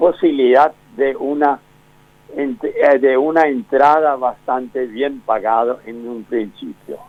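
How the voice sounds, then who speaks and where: Over music in the background, a man with a fairly high pitch speaks at a very slow pace, his loudness swinging widely. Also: ordinary pitch variation. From Argentina, Misiones (Montecarlo). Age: 90s. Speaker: book author, local historian. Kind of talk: phone interview. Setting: phone call. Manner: halting.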